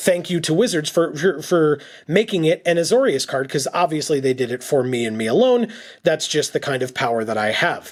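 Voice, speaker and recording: Doing a put-on character voice, a man talks at a fairly quick pace in a raspy, fairly high pitch with very wide pitch swings, recorded very cleanly against a silent background. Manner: sarcastic, mockingly self-important.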